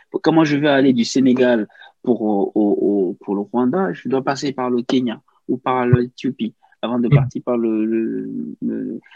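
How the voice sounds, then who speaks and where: Very slowly, the words come out with ordinary pitch variation. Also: man, medium pitch for a man. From Cameroon. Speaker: journalist. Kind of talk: interview conversation. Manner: halting, many repetitions.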